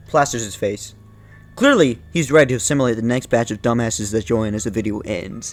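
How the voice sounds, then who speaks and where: Music plays in the background while a man speaks very fast. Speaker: YouTube video essayist. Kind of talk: casual commentary. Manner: stuttering; halting.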